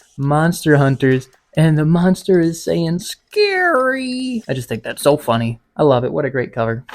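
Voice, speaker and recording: Whispering at a fairly slow pace, a man speaks while music plays in the background. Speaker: comic collector vlogger. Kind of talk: casual vlog haul.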